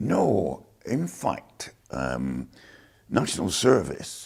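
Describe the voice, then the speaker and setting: A man talks with a Lancashire accent and vocal fry. His pitch swings very widely. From northern England, Lancashire (Chorley). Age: 70s. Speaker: war veteran. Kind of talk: oral history interview.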